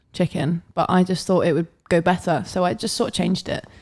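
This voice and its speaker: A woman speaks in an animated tone at a medium pitch, captured in a very clean recording with a silent background. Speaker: podcast co-host and model. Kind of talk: casual chat. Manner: chatty, animated, laughs often.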